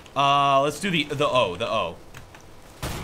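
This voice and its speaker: The man's pitch is fairly high. Noticeable background noise is audible. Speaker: gaming YouTuber. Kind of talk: gameplay commentary. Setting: online game session. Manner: animated, jokey.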